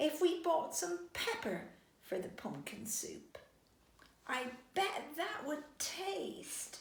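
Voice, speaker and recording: An extremely high-pitched, put-on character voice moves at a very slow pace with a slight echo. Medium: read story. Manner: quacky, excitable.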